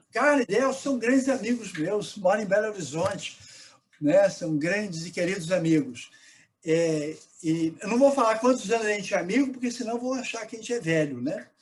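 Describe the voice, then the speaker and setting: The voice belongs to a man with a high pitch. He speaks at a moderate pace with lively intonation. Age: 60s. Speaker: priest and researcher. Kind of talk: live online debate. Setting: live stream.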